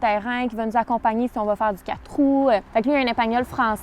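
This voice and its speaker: With a Quebec accent, a woman speaks at a high pitch with fairly even intonation over noticeable background noise. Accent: Québécois French. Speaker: YouTuber. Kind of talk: Q&A vlog. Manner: fast; casual.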